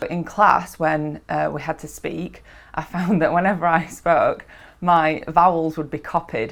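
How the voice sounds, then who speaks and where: A woman speaks with vocal fry at a fairly low pitch and fairly slow pace. Her intonation stays fairly even over a quiet background. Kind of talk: interview answer.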